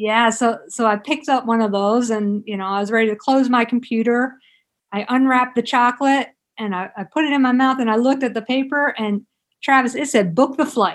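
A woman with an American accent, high in pitch, at a fairly quick pace with ordinary pitch variation. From South Jersey, near Philadelphia. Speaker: author and physical therapist. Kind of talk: interview.

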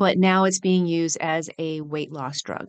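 A woman's plain, everyday voice with an American accent, fairly low in pitch, at a moderate pace with fairly even intonation, against a quiet background with a dry, close sound with no echo. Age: 50s. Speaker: pharmacist and fitness coach. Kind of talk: casual interview.

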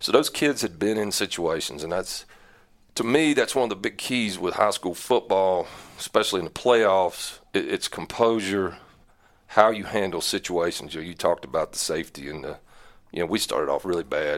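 A man with a North Carolina accent at a moderate pace, on a very clean recording with a silent background. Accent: Southern US (North Carolina). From North Carolina Piedmont, Iredell/Catawba County. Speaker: high school football coach. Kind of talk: interview.

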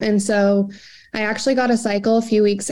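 Over a silent background in a very clean recording, a woman talks with a plain, everyday voice at medium pitch. Her pace is moderate. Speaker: wellness program member sharing healing story. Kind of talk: casual interview.

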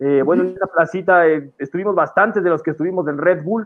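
Speech pours out of a man at a very fast pace. The intonation is fairly even. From Ecuador, Quito. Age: 20s. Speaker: freestyle rapper. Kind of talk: casual interview. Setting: studio.

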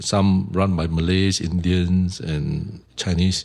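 Noticeable background noise runs behind this man. He talks with a Singaporean accent in a very deep, low pitch. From Singapore, Tiong Bahru. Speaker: shop owner. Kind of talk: interview.

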